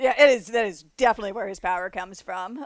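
With an American accent, a woman talks at a fairly quick pace at medium pitch in an unremarkable speaking voice. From South Florida. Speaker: freelance games writer. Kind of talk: casual chat about games.

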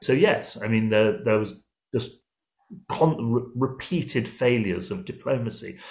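Lively intonation and a somewhat breathy quality from a man at a moderate pace. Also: medium pitch for a man. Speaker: historian and policy fellow. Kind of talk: interview.

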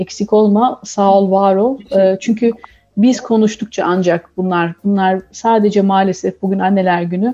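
A woman speaks at a fairly slow pace with very even loudness. Music plays in the background. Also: medium pitch for a woman, fairly even intonation. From Turkey. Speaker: communications professional, expectant mother. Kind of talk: radio interview.

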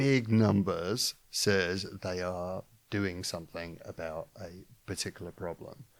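A man with a South London accent speaks very slowly in a very deep, low voice with ordinary pitch variation and big swings in loudness. The recording is very clean, with a silent background. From London, England. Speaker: podcast presenter and editor. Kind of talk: panel discussion.

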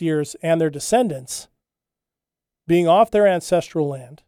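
Heard in a dry, close sound with no echo, the voice has a dark, mellow tone and a moderate pace. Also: man, very clean recording, silent background. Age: 50s. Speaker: podcast host and social commentator. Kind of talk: solo monologue commentary.

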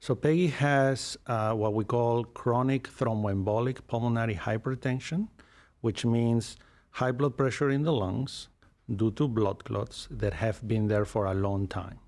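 An ordinary speaking voice, this man's medium pitch and ordinary pitch variation come at a fairly slow pace on a very clean recording with a silent background. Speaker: pulmonologist. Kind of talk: interview. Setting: studio.

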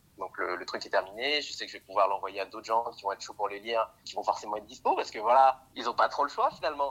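Barely pausing, a man rattles along at a very fast pace in a medium pitch, his pitch varying in an ordinary way while his loudness swings widely. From Paris, France. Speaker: screenwriting student. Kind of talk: casual chat. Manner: animated. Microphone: phone with earphones.

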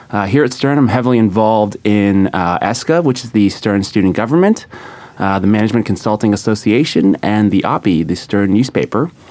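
A man with a General American accent has an unremarkable speaking voice and talks at a fairly quick pace. His loudness stays very even, with ordinary pitch variation. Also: fairly low pitch for a man. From California, San Diego. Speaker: graduating MBA student. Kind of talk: studio interview. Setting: studio with live audience.

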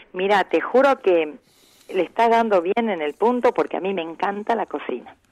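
A northwestern Argentine accent with lively intonation at a moderate pace, in a dry, close sound with no echo. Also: woman. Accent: northwestern Argentine (Salta). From Salta, northern Argentina. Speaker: folk singer and restaurant owner. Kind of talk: interview. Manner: calm.

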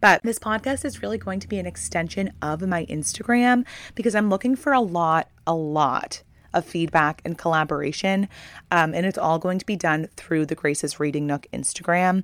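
In an American accent, a woman with a fairly low voice speaks at a moderate pace with lively intonation, the recording very clean and silent behind her, the sound dry and close with no echo. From Maine, US. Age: 20s. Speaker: podcast host. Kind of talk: casual monologue.

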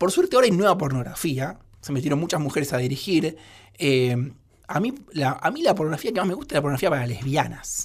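Talking at a very fast pace, a man with a fairly high pitch and lively intonation is heard on a very clean recording with a silent background. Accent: Rioplatense. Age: 30s. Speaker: writer and screenwriter. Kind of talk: radio interview.

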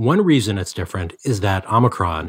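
Over a very clean recording with a silent background, a man speaks in a normal speaking voice, fairly low in pitch, with lively intonation. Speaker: health reporter. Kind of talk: news interview.

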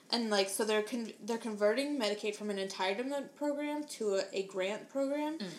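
A woman with an American accent speaks at a fairly quick pace with hardly any pauses. Her pitch is fairly high with ordinary variation, over noticeable background noise. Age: 20s. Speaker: podcast co-host. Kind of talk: casual chat.

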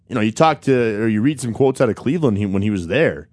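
A man with a plain, everyday voice speaks at a medium pitch with ordinary pitch variation, and the background is quiet. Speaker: radio co-host. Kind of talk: casual radio banter.

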